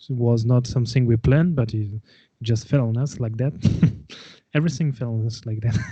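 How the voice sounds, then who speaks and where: At a fairly quick pace, a man with a French accent speaks at medium pitch. His intonation is fairly even, broken by long, frequent pauses. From France, Gascony. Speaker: folk metal musician and winemaker. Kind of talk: casual interview chat. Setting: live video call. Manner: halting, many fillers.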